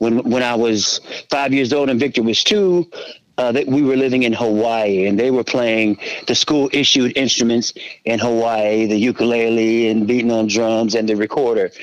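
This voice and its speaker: A man talks at a moderate pace and medium pitch in an unremarkable speaking voice. His loudness is very even and his intonation fairly even. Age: 50s. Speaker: musician. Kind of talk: interview.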